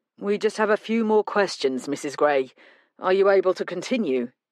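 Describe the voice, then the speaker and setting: Someone puts on a raspy character voice at a middle pitch. The pace is moderate and the background is quiet. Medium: read story. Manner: brisk, clipped.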